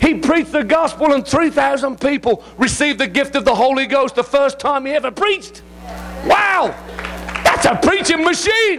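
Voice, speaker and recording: Crowd noise runs behind a speaker with an English accent who talks at a moderate pace with lively intonation and an animated tone. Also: man, extremely high pitch for a man. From England. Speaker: visiting preacher. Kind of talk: sermon. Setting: church.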